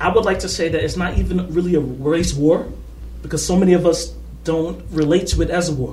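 A man talking at a fairly quick pace in an American accent, with noticeable background noise and audible room echo. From US Northeast, Harlem, New York City. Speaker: activist. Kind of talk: casual interview conversation.

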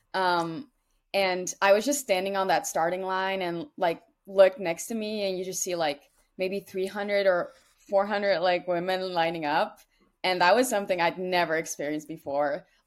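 In a Dutch accent, this speaker talks at a moderate pace with ordinary pitch variation, on a very clean recording over a silent background. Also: woman, medium pitch for a woman. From Netherlands. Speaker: college distance runner. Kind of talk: interview.

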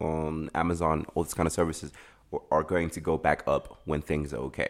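Against a silent background in a very clean recording, a man with a very deep, low pitch and vocal fry talks at a fairly quick pace in a flat, monotone way. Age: 20s. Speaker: podcast guest. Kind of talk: casual chat. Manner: laid-back, laughs often.

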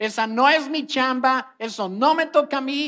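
A man's raised, projected voice comes out extremely high in pitch, bright and sharp in tone. He sounds animated, with ordinary pitch variation. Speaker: preacher. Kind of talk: online sermon, teaching the congregation. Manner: animated, conversational, explaining with rhetorical questions and humor.

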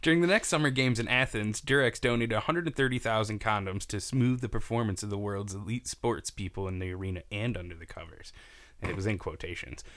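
Talking at a very fast pace, a man uses lively intonation at a medium pitch. His loudness swings widely. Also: very clean recording, silent background. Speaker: podcast host. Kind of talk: casual chat.

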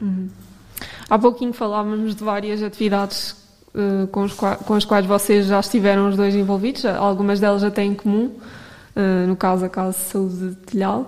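A woman talks at a moderate pace and medium pitch in a monotone, flat intonation. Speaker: radio host. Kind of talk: casual chat. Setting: studio.

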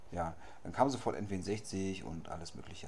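A man with a very deep, low pitch keeps a fairly even intonation, heard with audible room echo and noticeable background noise. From Berlin. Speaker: podcast host. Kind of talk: casual chat.

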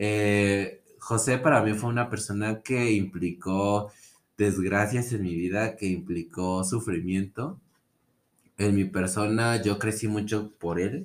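A man speaks with a Mexican accent. His delivery is very slow, with fairly even intonation. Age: 20s. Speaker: podcast guest. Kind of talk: casual chat.

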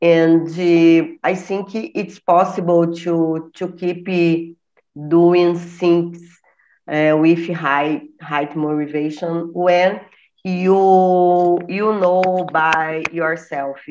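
Against a quiet background, a woman with a fairly low voice and a Portuguese accent speaks very slowly in a monotone, flat way. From Brazil. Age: 50s. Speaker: retired chemistry teacher. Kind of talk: casual chat. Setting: video call. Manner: halting.

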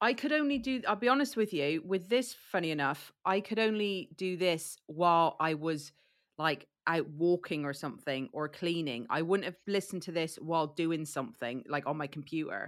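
A woman speaks at a moderate pace with an unremarkable speaking voice, a fairly low pitch and lively intonation. The recording is very clean, with a silent background. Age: 40s. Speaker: podcast host. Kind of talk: casual chat.

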